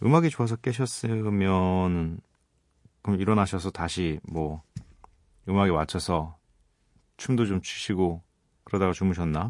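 Against a quiet background, a man with a very deep, low pitch and ordinary pitch variation speaks in a relaxed tone at a fairly slow pace, with long, frequent pauses. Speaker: radio DJ. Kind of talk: late-night radio talk. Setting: radio studio. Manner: relaxed, conversational.

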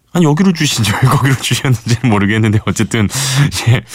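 There is vocal fry in this man's voice. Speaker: radio DJ. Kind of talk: radio show hosting. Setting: radio studio. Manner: warm, conversational.

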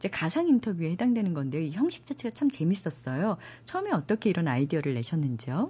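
A woman speaks at a very fast pace with a fairly low pitch. Her somewhat breathy voice swings very widely in pitch. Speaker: radio book show host, announcer. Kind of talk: radio book program hosting and interview. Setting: radio studio.

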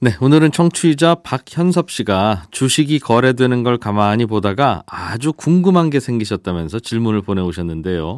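At a moderate pace with hardly any pauses, the voice makes very wide pitch swings in a very clean recording with a silent background and a dry, close sound with no echo. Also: man, medium pitch for a man. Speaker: radio host. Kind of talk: radio economics news talk. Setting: studio.

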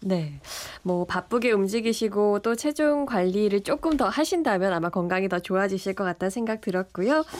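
A woman's medium-pitched, unremarkable speaking voice at a moderate pace, with lively intonation. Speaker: radio host. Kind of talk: radio health show presenting. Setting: studio.

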